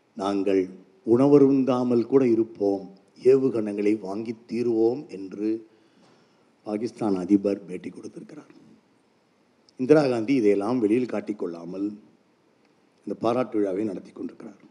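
With a dark, mellow tone and fairly low pitch, a man speaks with big swings in loudness. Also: ordinary pitch variation. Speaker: writer and speaker on reading. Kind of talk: public speech. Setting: stage with audience. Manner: formal, oratorical.

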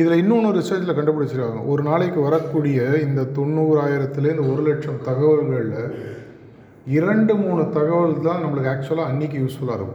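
The voice shows ordinary pitch variation. Audible room echo and noticeable background noise fill the recording. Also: man, fairly high pitch for a man. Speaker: guest speaker at a college. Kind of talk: motivational talk to students.

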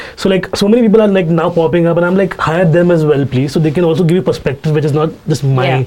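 A man with a Mumbai accent talks at a very fast pace, with hardly any pauses and a fairly high pitch. His tone is animated and his loudness very even. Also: ordinary pitch variation. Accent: Indian English, Mumbai. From Mumbai, India. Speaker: stand-up comedian. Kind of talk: casual chat, interview. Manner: fast talker, animated; candid, ranting, profane.

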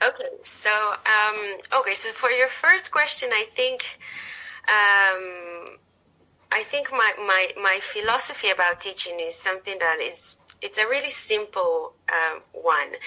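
Fairly slow speech from a woman with an Israeli accent, fairly high in pitch, with lively intonation and a bright, sharp tone. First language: Hebrew. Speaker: teacher and author. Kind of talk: casual interview. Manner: animated, enthusiastic.

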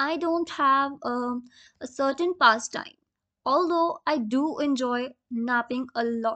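A woman speaks very slowly in a raised, projected voice, high-pitched with a bright, sharp tone. Her pitch varies in an ordinary way against a quiet background. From India, Rajasthan. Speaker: journalism student. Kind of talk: self-introduction.

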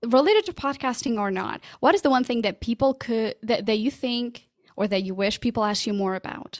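A woman's high-pitched voice with a Portuguese accent and lively intonation, dry and close with no echo, on a very clean recording with a silent background. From Portugal. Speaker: podcast coach. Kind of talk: casual interview.

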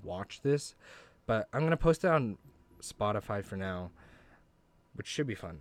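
A very clean recording with a silent background of a man at medium pitch, with lively intonation and a moderate pace. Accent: American. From Idaho, US. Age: young. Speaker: college student podcaster. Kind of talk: casual solo monologue. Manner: halting, many fillers.

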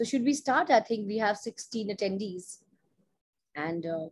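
The speaker is somewhat breathy, talking at a moderate pace with lively intonation, big swings in loudness, and long, frequent pauses. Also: woman. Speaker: associate dean and webinar host. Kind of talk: online information webinar. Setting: video call.

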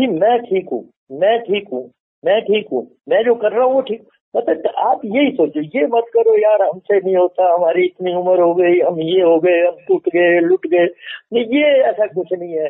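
A high-pitched man with lively intonation. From Himachal Pradesh, Kangra district. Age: old. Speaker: retired defence serviceman and gardener. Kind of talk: interview.

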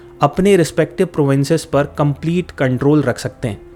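Pitched fairly high, a man talks with ordinary pitch variation. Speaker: history podcast host. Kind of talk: scripted narration. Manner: stumbles over words when hurrying.

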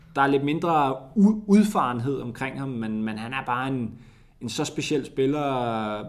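In a room with audible echo, a man speaks fairly slowly at a medium pitch with ordinary pitch variation, big swings in loudness, and long, frequent pauses. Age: 20s. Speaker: TV sports reporter and presenter. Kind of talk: casual interview.

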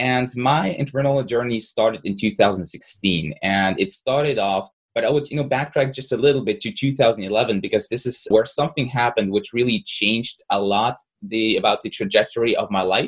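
This man talks at a moderate pace with hardly any pauses, his medium-pitched voice somewhat breathy and his intonation lively. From Russia. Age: 20s. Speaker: content creator. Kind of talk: interview.

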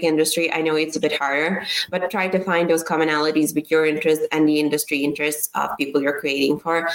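A woman with a very deep, low pitch speaks at a very fast pace with hardly any pauses. Her loudness stays very even amid noticeable background noise. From Serbia. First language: Serbian. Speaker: startup founder. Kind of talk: interview.

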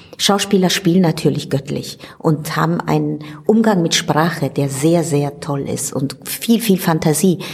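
Noticeable background noise sits under a woman's very deep, low voice. She talks at a fairly slow pace with ordinary pitch variation. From Italy. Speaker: stage director and actress. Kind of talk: interview.

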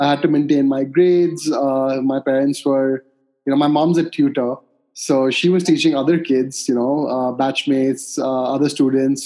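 Fairly high in pitch with a dark, mellow tone, a man speaks at a moderate pace with fairly even intonation. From India, Calcutta. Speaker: coffee startup co-founder. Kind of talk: interview.

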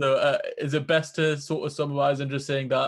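A man with a British accent and a fairly high pitch speaks in a monotone, flat intonation over a quiet background. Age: 20s. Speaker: podcast host. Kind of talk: interview conversation. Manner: hesitant, repeats words.

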